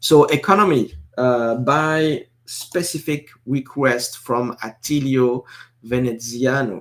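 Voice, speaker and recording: With a French accent, a man speaks at medium pitch with ordinary pitch variation. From northeastern France. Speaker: live stream host. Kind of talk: casual live stream commentary. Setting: live stream. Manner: hesitant, many fillers and repetitions.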